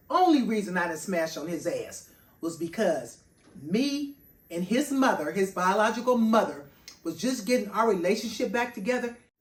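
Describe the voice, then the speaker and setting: Her fairly high voice is somewhat breathy and swings very widely in pitch. The woman sounds animated and keeps a moderate pace. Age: 60s. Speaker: personal chef and vlogger. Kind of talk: personal monologue vlog.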